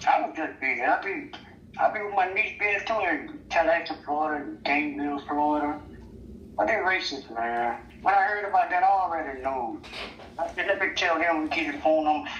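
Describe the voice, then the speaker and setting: This speaker has a Mississippi accent. The pace is fairly quick. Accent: US Southern, Mississippi. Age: 60s. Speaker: interviewee in street video. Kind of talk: street interview.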